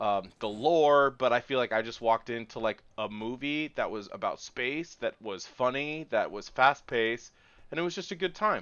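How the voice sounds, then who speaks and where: A man speaks at medium pitch and a moderate pace with an American accent, in a plain, everyday voice. His intonation is lively. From Washington State. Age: 20s. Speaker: podcast co-host. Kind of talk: casual chat. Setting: remote recording.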